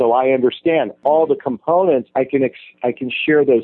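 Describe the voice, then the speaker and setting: This is a normal speaking voice at a fairly slow pace. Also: man. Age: 40s. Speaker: dating and relationship coach. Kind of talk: interview.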